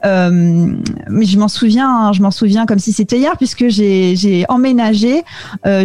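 At a fairly slow pace, a woman with a fairly high pitch and ordinary pitch variation speaks over noticeable background noise. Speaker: podcast producer, French expatriate. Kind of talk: interview. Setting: video call. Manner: hesitant, many fillers.

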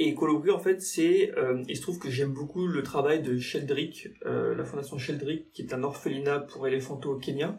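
A man speaks at a moderate pace with hardly any pauses, over noticeable background noise. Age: 30s. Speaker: journalist and safari guide. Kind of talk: casual interview. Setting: in-person studio conversation. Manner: halting, many fillers.

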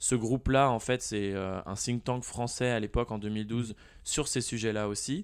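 A man with an ordinary speaking voice talks at a fairly slow pace and medium pitch, his intonation fairly even, on a very clean recording with a silent background. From France, Nantes. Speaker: product manager. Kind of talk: casual interview.

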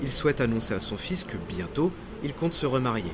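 A man speaks at a moderate pace in a medium pitch, his voice swinging very widely up and down, with noticeable background noise. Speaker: podcast narrator, maritime history storyteller. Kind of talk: scripted true-crime disaster narration, storytelling. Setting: studio, solo recording. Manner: suspenseful, vivid, dramatic storyteller; measured, paced narration.

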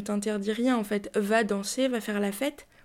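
The very clean recording, with a silent background, captures a woman speaking fairly slowly with fairly even intonation. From Paris, France. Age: 30s. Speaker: podcast guest sharing personal story. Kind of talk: testimony. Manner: hesitant, with fillers.

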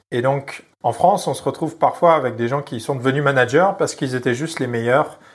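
In a very clean recording with a silent background, a man at medium pitch speaks at a fairly quick pace with ordinary pitch variation. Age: 30s. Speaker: product manager. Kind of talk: interview. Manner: hesitant.

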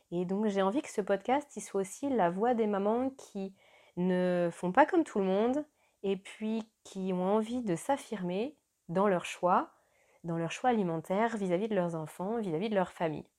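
Her tone dark and mellow, a woman speaks at a fairly slow pace with ordinary pitch variation. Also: medium pitch for a woman. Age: 30s. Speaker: podcast host, mother. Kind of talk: solo podcast introduction.

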